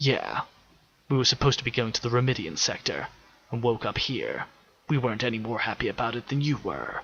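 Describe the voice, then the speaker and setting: A man speaks in a put-on character voice at a medium pitch with fairly even intonation. His pace is fairly quick, broken by long, frequent pauses. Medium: read story. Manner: dry, wry, blunt.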